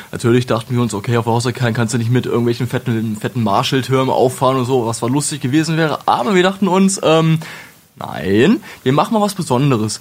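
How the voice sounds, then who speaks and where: This man's intonation is lively. He talks at a very fast pace. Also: medium pitch for a man. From Lower Saxony, Wolfenbüttel. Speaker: metal singer and retail clerk. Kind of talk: casual interview. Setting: studio.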